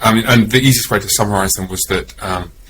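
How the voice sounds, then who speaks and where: Against noticeable background noise, a man with an English accent speaks at a medium pitch with ordinary pitch variation. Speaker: pastor. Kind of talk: casual chat. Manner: halting.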